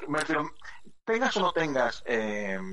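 Audible room echo carries a man's fairly high, fairly bright voice. His pitch makes big swings. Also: fairly slow pace.

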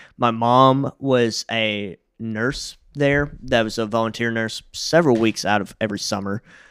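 The recording is very clean, with a silent background. Its sound is dry and close, with no echo. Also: man. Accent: Southern US. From US South, Jackson, Tennessee. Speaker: podcast co-host telling his life story. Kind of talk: personal life story in casual chat.

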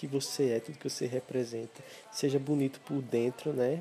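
With music in the background, a man speaks at a moderate pace in a medium pitch and fairly even intonation. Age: 20s. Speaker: podcaster. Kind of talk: solo reflective monologue. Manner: hesitant, repeats words.

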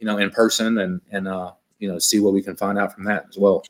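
At a fairly quick pace, a man with an American accent speaks in a bright, sharp tone with fairly even intonation. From northern California. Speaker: football coach. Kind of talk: casual interview.

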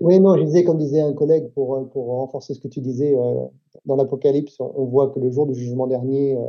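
A plain, everyday voice moves at a fairly quick pace. The intonation stays fairly even. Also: man, medium pitch for a man. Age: 50s. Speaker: Baptist church leader. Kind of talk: casual chat.

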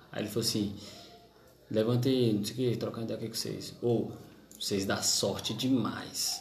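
A man speaks at an even, moderate speed in a room with audible echo and noticeable noise in the background. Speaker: podcast host. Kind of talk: casual chat.

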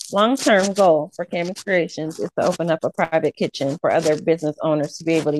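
In a normal speaking voice, a woman with an American accent talks at a fairly quick pace. Her pitch is fairly low, and the sound is dry and close with no echo. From Nebraska, US Midwest. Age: 30s. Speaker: personal chef and small business owner. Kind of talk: interview conversation.

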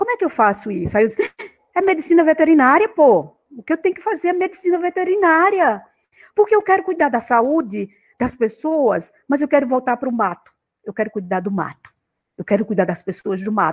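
Fairly quick, high-pitched female speech with very wide pitch swings and a dry, close sound with no echo. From Pernambuco interior, Brazil (Agreste, near Caruaru). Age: 60s. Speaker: university professor. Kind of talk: interview, life story.

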